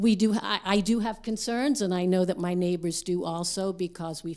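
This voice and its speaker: A woman's dark, mellow tone in a very clean recording with a silent background. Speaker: public commenter, retired educator. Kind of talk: public comment at board meeting.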